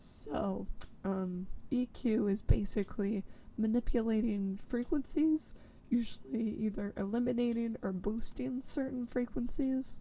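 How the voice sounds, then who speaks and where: The voice has a dark, mellow tone, is somewhat breathy, and shows ordinary pitch variation. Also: woman. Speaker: music producer and composer. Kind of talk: tutorial. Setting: home basement recording setup.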